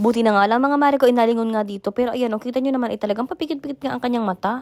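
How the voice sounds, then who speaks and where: A woman's high-pitched, animated delivery at a very fast pace, with ordinary pitch variation. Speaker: vlogger. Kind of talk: vlog narration. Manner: chatty, animated.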